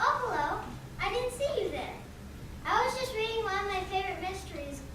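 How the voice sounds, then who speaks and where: Squeaky and extremely high, this put-on character voice runs at a fairly quick pace. Loud background noise and a slight echo surround it. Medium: stage play.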